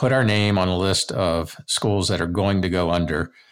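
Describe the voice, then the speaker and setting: At a moderate pace, a man talks in a very deep, low voice. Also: very clean recording, silent background. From US Maryland. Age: 60s. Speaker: university president emeritus and part-time faculty. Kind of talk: interview.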